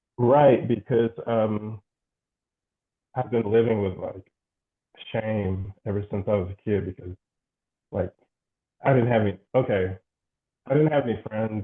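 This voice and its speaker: A fairly low male voice at a moderate pace with ordinary pitch variation. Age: 40s. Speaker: client. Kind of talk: therapy interview. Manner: halting. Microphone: poor sound.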